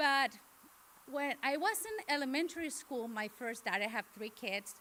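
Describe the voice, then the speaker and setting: With a Mexican accent, a woman uses a raised, projected voice with a bright, sharp tone, high pitch and very wide pitch swings at a moderate pace. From Mexico. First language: Spanish. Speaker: parent speaker. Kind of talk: personal testimony. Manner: halting.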